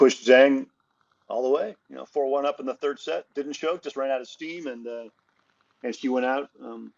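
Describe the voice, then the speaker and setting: With an American accent, a man in a plain, everyday voice talks at a moderate pace with ordinary pitch variation. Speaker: tennis journalist and podcast co-host. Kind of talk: casual chat.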